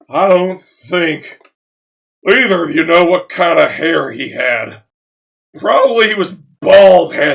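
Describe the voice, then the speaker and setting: The voice is a put-on character voice at a fairly slow pace. Its intonation is lively. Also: man, high pitch for a man. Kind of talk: comic overacting. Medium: read story. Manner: exasperated, blustering.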